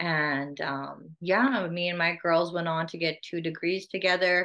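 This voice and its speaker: Fairly low in pitch, a woman speaks with a bright, sharp tone and fairly even intonation. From Saskatchewan, Canada (Whitecap Dakota Nation, Saskatoon). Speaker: First Nations vice chief. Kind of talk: interview. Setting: video call.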